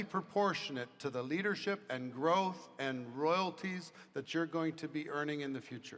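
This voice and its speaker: Using an ordinary speaking voice, a man talks at a moderate pace in a fairly high pitch with ordinary pitch variation. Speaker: business leader speaking to salespeople. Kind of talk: motivational talk with Q&A.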